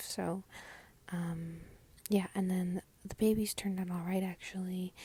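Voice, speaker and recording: At a moderate pace, a woman talks in a monotone with flat intonation. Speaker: craft youtuber. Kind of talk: casual art tutorial voiceover. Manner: casual, hesitant with fillers; whispering.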